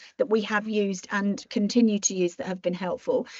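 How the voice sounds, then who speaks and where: A woman with a British accent speaks at a fairly high pitch. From Britain. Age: 60s. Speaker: marketing strategist and entrepreneur. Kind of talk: podcast interview.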